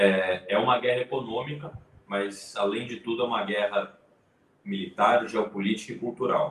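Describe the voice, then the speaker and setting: This man has an unremarkable speaking voice at a medium pitch, with ordinary pitch variation and a moderate pace. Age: 20s. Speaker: YouTube channel host and economics student. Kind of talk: casual live-stream interview. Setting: online live stream.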